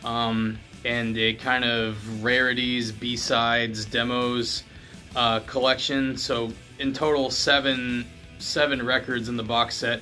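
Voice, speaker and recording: Faint music plays behind a man as he talks. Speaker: record collector reviewer. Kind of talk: casual review vlog. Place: home room. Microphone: phone near.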